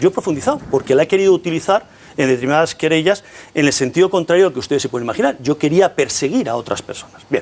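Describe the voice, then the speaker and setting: A man's high-pitched voice at a very fast pace. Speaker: political party leader and lawyer. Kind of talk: heated debate.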